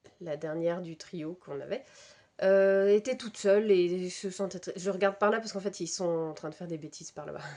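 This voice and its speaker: A woman talks at a moderate pace in a dark, mellow tone. Her intonation stays fairly even. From Brittany, France. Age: 30s. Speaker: knitting podcaster. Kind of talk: casual chat. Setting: home, cats around. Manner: hesitant, many fillers.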